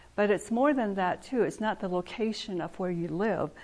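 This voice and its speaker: A woman speaks with a Southwestern US accent and ordinary pitch variation. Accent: Navajo-accented English. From Navajo reservation, northern Arizona. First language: Navajo. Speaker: artist and weaver giving a talk. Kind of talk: lecture.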